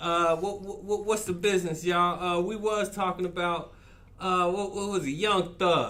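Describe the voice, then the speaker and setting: Raising and projecting his voice, a man speaks at a moderate pace in a high pitch with a bright, sharp tone and monotone, flat intonation. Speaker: podcast host. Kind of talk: casual chat.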